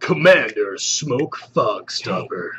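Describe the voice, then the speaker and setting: Someone delivers a put-on character voice in a dramatic tone. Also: man, extremely high pitch for a man. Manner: dramatic, cool.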